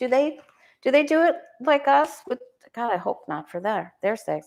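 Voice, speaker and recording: A woman speaks in an animated tone at a fairly quick pace. Her pitch swings very widely. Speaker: tarot reader livestream host. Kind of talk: casual livestream chat. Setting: live stream.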